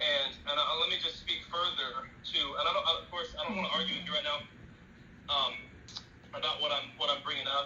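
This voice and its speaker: There is audible room echo and noticeable background noise as a man talks at a fairly quick pace. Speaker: evangelist. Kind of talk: heated argument. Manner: fast.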